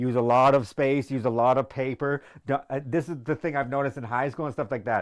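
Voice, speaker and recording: Fairly quick, animated delivery from a man at a medium pitch, in a very clean recording with a silent background. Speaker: math tutor. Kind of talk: live-streamed math tutoring with casual rant. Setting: live stream. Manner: loud.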